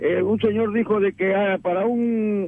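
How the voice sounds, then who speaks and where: Noticeable background noise runs through the clip. The man has a high pitch and fairly even intonation. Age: 70s. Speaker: radio caller. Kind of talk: phone-in opinion call. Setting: phone call.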